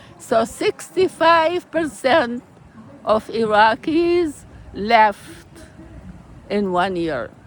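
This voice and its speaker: A woman's fairly high voice moves through very wide pitch swings, with noticeable background noise behind her. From Iraq. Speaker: peace activist, author and poet. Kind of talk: interview answer.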